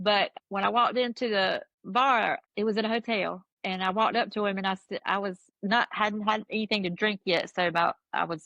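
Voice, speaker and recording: A fairly quick woman's voice at medium pitch, in a strong Southern US accent. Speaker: music fan telling her story. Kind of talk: casual chat. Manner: animated storytelling.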